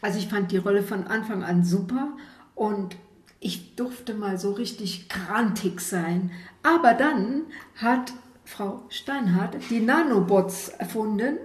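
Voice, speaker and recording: Amid noticeable background noise and audible room echo, the female speaker talks at a very slow pace. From Saarland. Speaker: amateur actor. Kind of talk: testimony.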